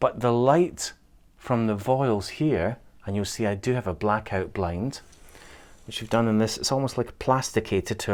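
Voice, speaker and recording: A man talks at a moderate pace. He has a Scottish accent. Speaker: interior designer. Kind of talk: home tour walkthrough.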